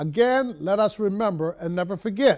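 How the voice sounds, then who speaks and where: Moderate pace from a man with an American accent, ordinary pitch variation and a quiet background. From Baltimore, Maryland. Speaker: radio and TV host; radio, TV host. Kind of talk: broadcast hosting; broadcast closing remarks. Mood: warm, earnest. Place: studio. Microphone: lapel.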